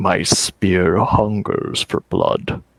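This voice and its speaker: A man speaks in a put-on character voice. His delivery is very slow. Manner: whispery, carried on the wind.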